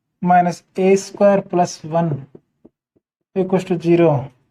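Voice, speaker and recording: Flat and monotone, a man's high-pitched voice carries a dark, mellow tone. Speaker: maths teacher. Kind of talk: lecture. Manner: speaking softly.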